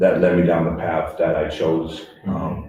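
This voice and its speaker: Speaking very slowly with a very deep, low pitch, a man with a Boston accent is heard against audible room echo. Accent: Boston-area New England. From Worcester, Massachusetts. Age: 40s. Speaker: peer recovery center director. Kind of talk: radio interview. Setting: live broadcast at recovery center. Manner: hesitant, many fillers.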